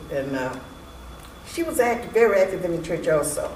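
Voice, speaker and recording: A woman's fairly low-pitched voice, with noticeable background noise and audible room echo. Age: 80s+. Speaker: church elder member. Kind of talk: interview. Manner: halting.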